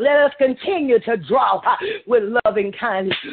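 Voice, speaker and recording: Noticeable background noise fills the recording. The talking holds a moderate pace. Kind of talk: intercessory prayer. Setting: conference call. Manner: fervent, repetitive.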